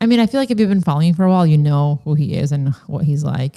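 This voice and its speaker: A woman speaks with a very deep, low pitch. The sound is dry and close with no echo. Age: 30s. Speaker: podcast host, former model. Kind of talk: casual chat. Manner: talkative, quick.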